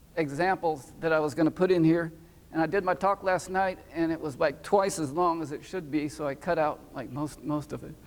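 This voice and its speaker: High-pitched male speech, its pitch varying in an ordinary way. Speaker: research scientist. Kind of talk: conference talk. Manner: hesitant, many fillers.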